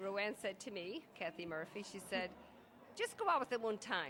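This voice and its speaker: A woman with an Irish accent over noticeable background noise. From Ireland. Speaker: Irish immigrant. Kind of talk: reminiscing interview.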